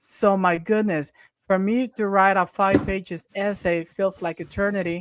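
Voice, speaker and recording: A man talks with a Spanish accent. His pace is moderate and his intonation fairly even. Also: dry, close sound with no echo. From Honduras. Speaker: interview host. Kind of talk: interview. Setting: live video call. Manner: halting, many repetitions.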